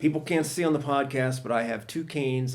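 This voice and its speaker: A man with a US Midwestern accent, medium pitch and a moderate pace. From Ohio, US Midwest. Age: 60s. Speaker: stand-up comedian. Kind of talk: podcast interview. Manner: halting.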